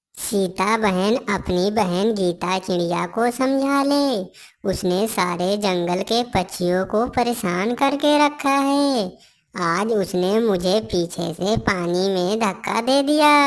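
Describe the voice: Very slowly, a female-sounding voice at medium pitch performs a cartoonish character voice on a very clean recording with a silent background.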